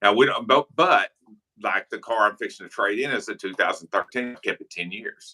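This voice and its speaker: With a dry, close sound and no echo, a man talks at a fairly quick pace, his loudness swinging a lot. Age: 60s. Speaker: airgun channel host. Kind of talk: casual chat. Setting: live stream.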